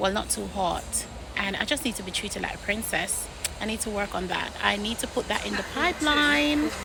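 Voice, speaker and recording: Soft-spoken and fairly quick, a woman at a medium pitch makes very wide pitch swings amid noticeable background noise. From Jamaica. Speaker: lifestyle vlogger, hotel worker. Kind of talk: casual vlog.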